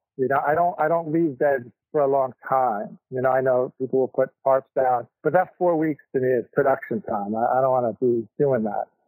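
A man speaks at a moderate pace in a normal speaking voice, pitched in the middle range with ordinary variation. The sound is dry and close with no echo, and he hardly pauses. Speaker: vegetable farmer. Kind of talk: interview. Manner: casual.

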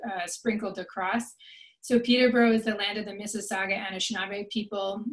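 A woman's monotone, flat delivery. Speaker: webinar host. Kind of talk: opening remarks. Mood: warm, welcoming. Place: home room. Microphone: webcam.

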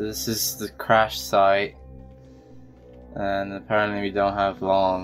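Over music in the background, a man speaks at a very slow pace with lively intonation. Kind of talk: casual talk to camera. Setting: gameplay commentary recorded over game footage.

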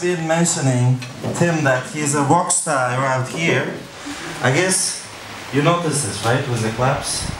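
Over noticeable background noise, a speaker with an Uzbek accent talks at a fairly slow pace. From Uzbekistan. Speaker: event host. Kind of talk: event presentation. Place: hall. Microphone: handheld.

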